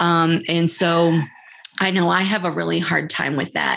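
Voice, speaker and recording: A woman has a plain, everyday voice, pitched fairly low, and speaks at a fairly slow pace. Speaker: podcast host. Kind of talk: casual interview.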